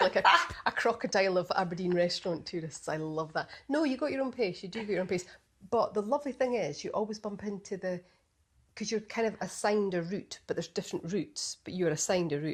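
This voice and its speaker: A woman's medium-pitched voice at a very fast pace, lively intonation, quiet background. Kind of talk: casual podcast conversation.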